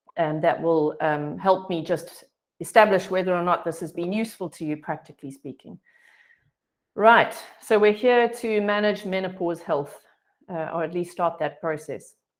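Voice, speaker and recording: With ordinary pitch variation, a woman's fairly low voice moves at a moderate speed. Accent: South African. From South Africa. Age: 50s. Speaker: health coach. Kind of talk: online presentation. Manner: hesitant, many fillers.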